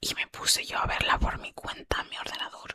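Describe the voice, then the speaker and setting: A woman is whispering. Her pace is moderate. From southern Andalusia, Spain. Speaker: ASMR channel host. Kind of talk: ASMR whispered paranormal storytelling. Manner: soft, whispered, chatty.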